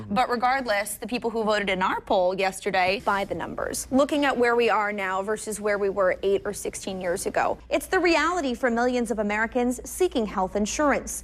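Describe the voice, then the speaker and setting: Hardly pausing, a woman with an ordinary speaking voice talks at a fairly quick pace in a fairly high pitch with ordinary pitch variation. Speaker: TV news anchor and reporter. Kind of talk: TV news anchoring and reporting.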